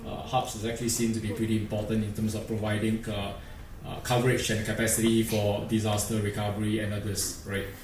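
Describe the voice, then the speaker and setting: A man's fairly low, monotone, flat voice at a very fast pace, with audible room echo and light background noise. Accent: Singaporean. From Singapore. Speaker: industry engineer presenter; presenter. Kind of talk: conference presentation. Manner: hesitant, many fillers. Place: hall. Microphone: podium.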